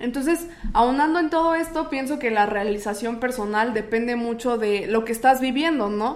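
Her high-pitched voice shows ordinary pitch variation as this woman talks at a moderate pace. Audible room echo surrounds the speech. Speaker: radio announcer and podcaster. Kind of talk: casual chat. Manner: stronger, more formal announcer voice on podcast.

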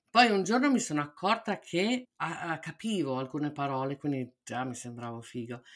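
Her voice very deep and low, a woman talks at a moderate pace with very wide pitch swings on a very clean recording with a silent background. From Italy (Milan). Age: middle-aged. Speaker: podcast co-host. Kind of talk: casual chat.

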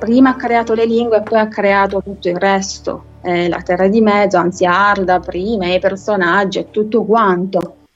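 Delivery moves at a moderate pace. Its intonation stays fairly even. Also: woman, medium pitch for a woman, hardly any pauses. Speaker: literature lecturer. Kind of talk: lecture.

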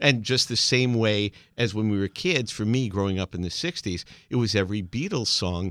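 In a normal speaking voice, a man talks at a fairly low pitch and a moderate pace. His pitch variation is ordinary, and the sound is dry and close with no echo. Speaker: podcast host. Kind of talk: interview, casual chat.

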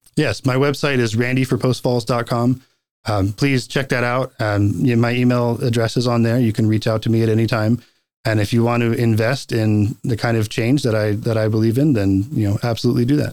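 A man with an American accent, medium pitch, monotone, flat intonation, very even loudness and a fairly quick pace, in a very clean recording with a silent background. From North Carolina. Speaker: city council candidate. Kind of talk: interview. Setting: studio.

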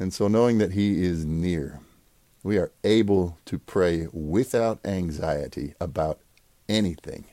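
Pausing long and often, a man speaks at a fairly slow pace in a very deep, low voice, warm in tone and dark and mellow, with ordinary pitch variation. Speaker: pastor. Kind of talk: prayer meeting with Bible reading and short devotional. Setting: recorded online for remote listeners. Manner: warm, informal, conversational.

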